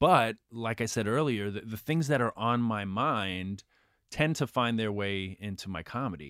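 Using lively intonation and a medium pitch, a man with a New York accent talks at a moderate pace. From New York, Queens. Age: 40s. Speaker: stand-up comedian. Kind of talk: casual interview; stand-up.

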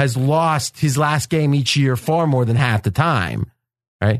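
A man with a slight Pittsburgh accent talks at a fairly slow pace, his voice dry and close with no echo. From Ohio, near Pittsburgh. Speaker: sports betting podcast host. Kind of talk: casual sports talk.

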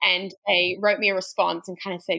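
In an American accent, a woman speaks at medium pitch and a moderate pace with ordinary pitch variation. The recording is very clean, with a silent background. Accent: Australian with slight American twang. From Australia. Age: 20s. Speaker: trail runner. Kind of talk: casual interview chat.

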